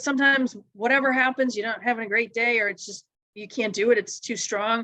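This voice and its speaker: A woman at a very fast pace and fairly high pitch, with a bright, sharp tone, fairly even intonation and big swings in loudness. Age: 50s. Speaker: cycling racer and presenter. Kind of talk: informal talk to a group.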